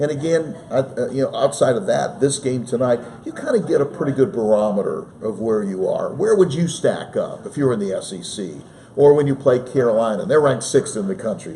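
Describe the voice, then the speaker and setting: Fairly quick and lively in intonation, a man's fairly high voice carries over noticeable background noise. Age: 60s. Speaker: sports play-by-play broadcaster. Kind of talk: casual interview. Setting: studio, live stream.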